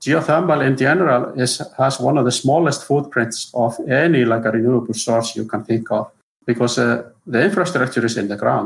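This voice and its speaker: The speaker has an Icelandic accent and a somewhat breathy voice. The pace is fairly quick, with ordinary pitch variation. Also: man, medium pitch for a man. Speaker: geothermal engineer. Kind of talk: interview. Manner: halting.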